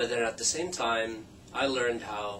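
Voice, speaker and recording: Audible room echo and noticeable background noise, with ordinary pitch variation. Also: man. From Philippines. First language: Tagalog or Ilocano. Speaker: language teacher. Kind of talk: scripted introduction.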